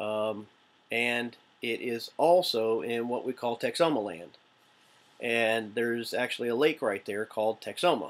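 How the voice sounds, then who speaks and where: A relaxed tone in an American accent, with ordinary pitch variation and a fairly slow pace. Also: man, medium pitch for a man. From Oklahoma (Shawnee). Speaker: vlogger, navy veteran. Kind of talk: casual vlog. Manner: relaxed, rambling with fillers.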